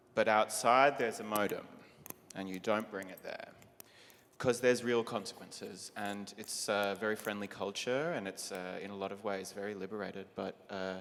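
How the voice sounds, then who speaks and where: Fairly low in pitch, a man with an Australian accent speaks with fairly even intonation. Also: moderate pace. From Australia (Melbourne). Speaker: drag performer, panelist. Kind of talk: panel discussion.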